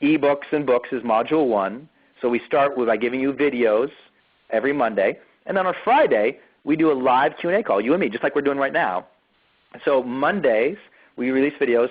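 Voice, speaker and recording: The man's pitch is fairly high and varies in an ordinary way. He talks at a fairly quick pace, broken by long, frequent pauses. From US, Montana. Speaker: online marketing coach. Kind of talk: webinar presentation; sales pitch. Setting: live webinar. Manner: fast; energetic.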